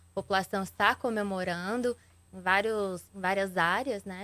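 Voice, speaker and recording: Medium in pitch with fairly even intonation, a woman talks in a normal speaking voice. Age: younger than the host. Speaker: journalist and TV news anchor. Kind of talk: interview questions. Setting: radio and TV studio.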